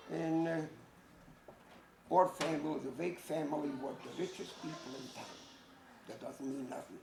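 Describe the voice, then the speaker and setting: Noticeable background noise and audible room echo surround a man at a fairly high pitch. He talks at a moderate pace with fairly even intonation. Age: 70s. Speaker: Holocaust survivor. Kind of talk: testimony. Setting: school audience.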